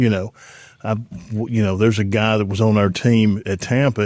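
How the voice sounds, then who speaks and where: A man with an Alabama accent speaks at a moderate pace in a fairly low pitch. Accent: Southern US (Alabama). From Alabama, US South. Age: 60s. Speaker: former pro football player, airline pilot. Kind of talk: casual interview chat.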